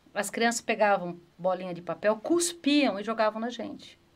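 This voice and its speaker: A woman with an ordinary speaking voice talks at a moderate pace and uses ordinary pitch variation. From Brazil, Campinas (Sousas). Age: 50s. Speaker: city councillor, former PE teacher. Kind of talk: interview chat.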